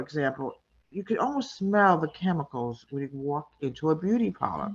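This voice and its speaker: A woman talking at a fairly quick pace. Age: 60s. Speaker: audience member asking a question. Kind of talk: casual Q&A.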